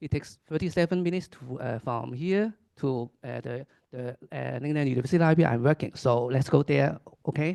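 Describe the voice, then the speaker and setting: Fairly quick and fairly high for a man, this voice has a dark, mellow tone with ordinary pitch variation and big swings in loudness. The sound is dry and close, with no echo. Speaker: academic librarian. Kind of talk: conference presentation. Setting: seminar with audience. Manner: halting, many fillers.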